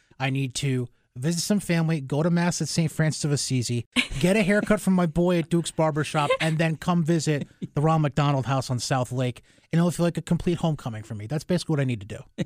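Very fast and fairly high-pitched, a man speaks with ordinary pitch variation in a very clean recording with a silent background and a dry, close sound with no echo. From Albany, New York. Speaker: radio host. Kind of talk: casual interview. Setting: studio.

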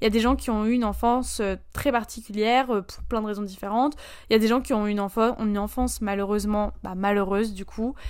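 A woman speaks at a very fast pace in a fairly high voice with fairly even intonation. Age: 19. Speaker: solo podcaster. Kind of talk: casual monologue. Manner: hesitant, many fillers.

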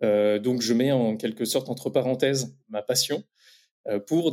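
At a fairly slow pace, a man speaks at medium pitch with a dark, mellow tone and ordinary pitch variation. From France, Champagne-Ardenne (Reims). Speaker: entrepreneur in beekeeping. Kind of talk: interview about career path.

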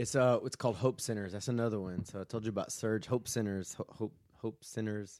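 Talking at a fairly quick pace with hardly any pauses, a man uses a fairly low pitch, fairly even intonation, and a Southern US accent. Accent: Southern US (Georgia). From US South, Georgia (Statesboro, near Savannah). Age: 30s. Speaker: pastor. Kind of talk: casual chat.

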